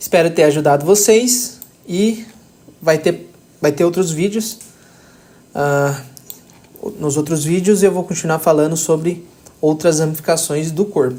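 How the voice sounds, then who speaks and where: At a fairly slow pace with long, frequent pauses, a man speaks in a high-pitched voice with a dark, mellow tone and ordinary pitch variation. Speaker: anatomy tutor. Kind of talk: tutorial.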